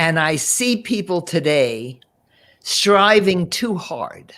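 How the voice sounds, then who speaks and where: A woman speaks with an American accent. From US Northeast (Paterson, New Jersey). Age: 80s+. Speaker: financial and emotional coach. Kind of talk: interview. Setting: live video stream.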